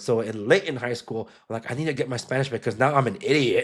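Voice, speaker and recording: This man speaks with an American accent. His pitch is medium, with ordinary pitch variation. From Los Angeles area, Compton, Salvadoran family. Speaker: podcast host. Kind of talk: casual chat. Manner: animated.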